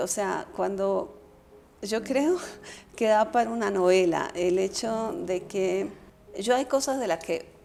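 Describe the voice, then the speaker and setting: The speech moves at a very slow pace, with a dark, mellow tone and ordinary pitch variation. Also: woman. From Colombia. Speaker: political scientist and former vice foreign minister. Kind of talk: casual conversation.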